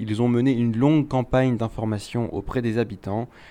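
A man's medium-pitched voice, dark and mellow in tone, at a moderate pace with fairly even intonation. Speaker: radio reporter. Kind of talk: news reporting.

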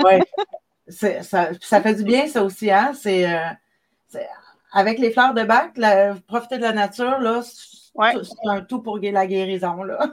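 A woman talks very slowly at a fairly high pitch, with ordinary pitch variation. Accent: Quebec. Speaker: magazine creator and live show host. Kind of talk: live video interview. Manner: halting.

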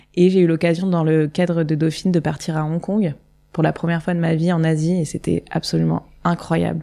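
The tone is dark and mellow. Intonation remains monotone and flat. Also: woman. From southern France, Nice. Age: 30s. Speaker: festival co-founder. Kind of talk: interview.

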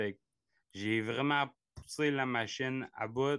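The background is quiet. A man talks at a very slow pace, with ordinary pitch variation. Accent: Gaspésie. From Quebec, Gaspésie. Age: 30s. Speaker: ultra-distance cyclist. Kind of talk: interview. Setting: video call. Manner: halting.

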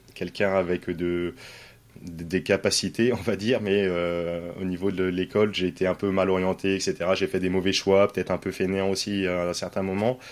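A man's very deep, low voice at a fairly slow pace. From France, Poitiers. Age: 30s. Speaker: real estate investor, former firefighter. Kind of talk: interview.

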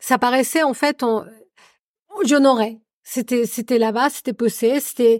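Someone with a Spanish accent talks at a fairly slow pace, leaving long, frequent pauses, with ordinary pitch variation and a dry, close sound with no echo. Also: woman, high pitch for a woman. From Colombia. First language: Spanish (speaking French). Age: 40s. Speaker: adoptive mother. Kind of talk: casual chat.

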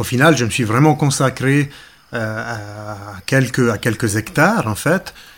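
A man speaks with a slight Ticino accent. His pitch is medium and his pace fairly slow. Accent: slight Ticino Italian-Swiss. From Ticino, southern Switzerland. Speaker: nature photographer. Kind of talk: interview narration. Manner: hesitant with frequent fillers.

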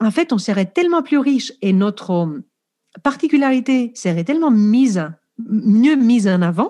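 Her fairly high-pitched voice has a dark, mellow tone and very wide pitch swings, captured in a very clean recording with a silent background. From Greece. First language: Greek (speaking French). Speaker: professional coach, former teacher. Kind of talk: podcast interview.

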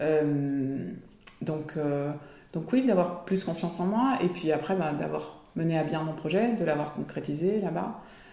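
A woman speaks very slowly at a fairly low pitch, her intonation lively, with noticeable background noise and audible room echo. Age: 40s. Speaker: former expat mother, small business owner. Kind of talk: interview testimony. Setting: at home.

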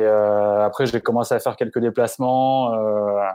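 A man with a medium pitch and a dark, mellow tone talks monotone and flat at a fairly slow pace, with a dry, close sound, no echo and a quiet background. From France, Grenoble. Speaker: football reporter and former radio commentator. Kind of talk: casual interview.

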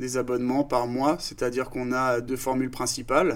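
The man's pitch is medium. He speaks at a fairly quick pace. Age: 30s. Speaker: startup founder. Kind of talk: casual interview.

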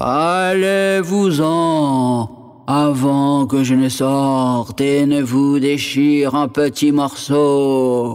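A man's put-on character voice, fairly high in pitch, at a very slow pace with hardly any pauses. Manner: threatening.

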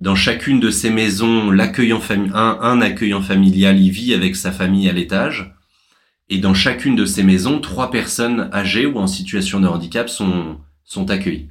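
Room echo is audible as a man talks at a moderate pace. His voice is fairly low, with ordinary pitch variation. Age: 30s. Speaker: social entrepreneur. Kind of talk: interview. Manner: halting.

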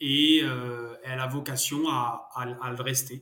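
A man's fairly high voice in a monotone, flat intonation. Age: 30s. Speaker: startup co-founder, father. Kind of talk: interview. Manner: hesitant, many fillers and repetitions.

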